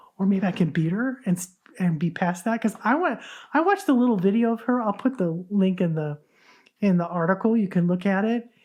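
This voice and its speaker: At a fairly quick pace, a woman with a normal speaking voice talks in a medium pitch with ordinary pitch variation. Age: 60s. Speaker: podcast host. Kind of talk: casual podcast monologue. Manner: conversational, with false starts.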